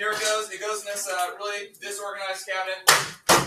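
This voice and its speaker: A man speaks in a raised, projected voice. His tone is energetic. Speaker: high school chemistry teacher. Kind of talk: classroom lecture. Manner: loud; energetic, casual.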